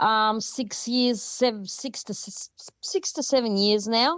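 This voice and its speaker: The sound is dry and close with no echo, over a quiet background. A woman speaks with an Australian accent. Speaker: rock band lead singer. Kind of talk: interview. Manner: well spoken; halting.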